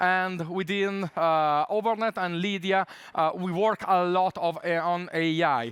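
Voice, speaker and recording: In an Italian accent, the speaker talks at a fairly slow pace with fairly even intonation. The background is quiet. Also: man, high pitch for a man. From Italy. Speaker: tech conference speaker. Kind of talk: conference talk. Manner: many filler hesitations.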